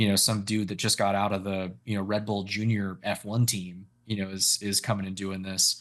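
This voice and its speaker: Against a quiet background, a man with an American accent speaks at a moderate pace and a fairly low pitch, in a monotone, flat intonation with hardly any pauses. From Northern California, Bay Area. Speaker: professional race car driver. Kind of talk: interview.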